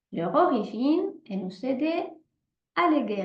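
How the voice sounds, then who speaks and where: With audible room echo, a woman speaks at a very slow pace using lively intonation. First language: not French (speaking French). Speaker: holistic therapist. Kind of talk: presentation with guided exercise. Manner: hesitant, many fillers.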